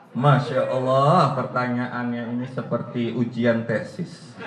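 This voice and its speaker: In a Banten accent, a man of medium pitch speaks with audible room echo and noticeable background noise. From Banten, Indonesia. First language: Banten Javanese (speaking Indonesian). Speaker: writer and language speaker. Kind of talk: lecture with Q&A.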